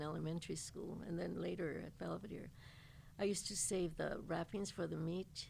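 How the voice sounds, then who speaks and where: At a moderate pace, a woman's voice comes through with audible room echo. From East Los Angeles, US. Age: 80s+. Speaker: altar maker and folk artist. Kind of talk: interview storytelling. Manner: halting.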